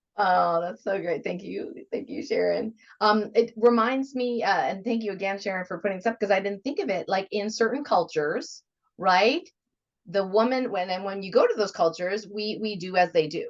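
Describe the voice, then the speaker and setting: At a moderate pace, a woman talks in an ordinary speaking voice, medium in pitch with ordinary pitch variation. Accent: American. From United States. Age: 50s. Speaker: radio host. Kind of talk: interview.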